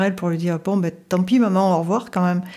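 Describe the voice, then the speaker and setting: Speaking very fast, a woman uses a medium-pitched voice with a dark, mellow tone. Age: 60s. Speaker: life coach. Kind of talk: personal testimony in interview. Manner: hesitant, many fillers.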